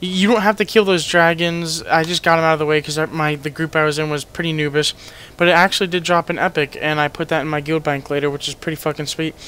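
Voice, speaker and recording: A man with fairly high pitch talks at a very fast pace. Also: fairly even intonation. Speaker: gaming guide youtuber. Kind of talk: gameplay commentary tutorial. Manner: casual with many fillers.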